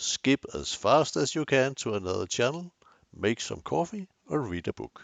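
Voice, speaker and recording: The speaker has a strong Danish accent. The pitch makes very wide swings. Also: man. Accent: Danish, thick. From Denmark. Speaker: photography youtuber. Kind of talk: tutorial. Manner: hesitant with fillers.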